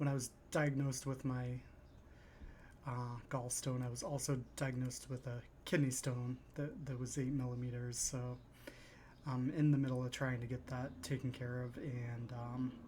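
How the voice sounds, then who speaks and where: A soft-spoken man talks at a moderate pace with a dark, mellow, somewhat breathy voice at medium pitch. His intonation is monotone and flat, with long, frequent pauses. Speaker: stock investing YouTuber. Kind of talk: casual talk to camera. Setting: at home. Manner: halting, many fillers.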